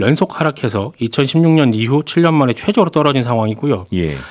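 A man's normal speaking voice with a fairly high pitch, lively intonation and a fairly quick pace. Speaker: writer. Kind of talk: radio economics news talk.

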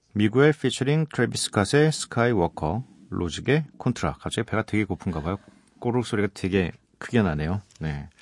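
The speech moves at a fairly quick pace with a relaxed tone and very wide pitch swings, recorded with a dry, close sound with no echo and a quiet background. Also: man, fairly low pitch for a man. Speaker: radio DJ. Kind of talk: late-night radio talk. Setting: radio studio. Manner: relaxed, conversational.

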